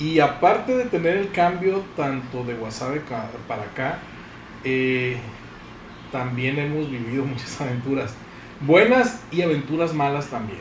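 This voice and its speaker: In a northwestern Mexican accent, a man with a fairly high pitch and ordinary pitch variation speaks over noticeable background noise. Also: fairly slow pace. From Sinaloa, Mexico. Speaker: podcast host. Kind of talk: casual chat.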